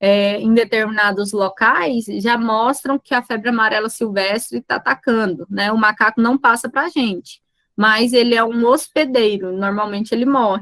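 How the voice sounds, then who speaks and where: With an unremarkable speaking voice, a woman talks at a fairly high pitch and a moderate pace, with ordinary pitch variation and hardly any pauses, in a dry, close sound with no echo. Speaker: teacher. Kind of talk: lecture.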